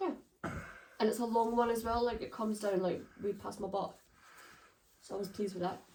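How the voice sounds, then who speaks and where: A woman with a Scottish accent speaks in a dark, mellow tone at a fairly high pitch, with fairly even intonation and long, frequent pauses. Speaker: vlogger. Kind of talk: casual chat.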